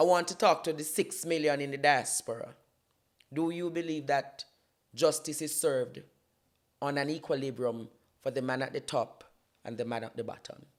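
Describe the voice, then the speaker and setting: A man with a Jamaican accent, fairly high in pitch, with ordinary pitch variation, a moderate pace and long, frequent pauses. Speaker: political commentator and YouTuber. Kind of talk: impassioned political talk on a talk show. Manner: emphatic, declamatory.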